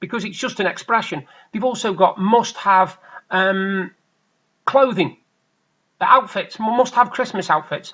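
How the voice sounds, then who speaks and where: A man with an English accent, talking fairly slowly with long, frequent pauses over a quiet background. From England. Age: 40s. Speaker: vlogger. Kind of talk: casual vlog monologue. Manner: hesitant, many fillers. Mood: opinionated, annoyed at times. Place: home room. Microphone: webcam.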